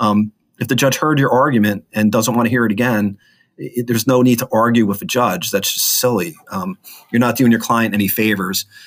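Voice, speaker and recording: A man with an American accent, an ordinary speaking voice at medium pitch, ordinary pitch variation and a fairly quick pace. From northern New Jersey. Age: 50s. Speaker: lawyer. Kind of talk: casual interview.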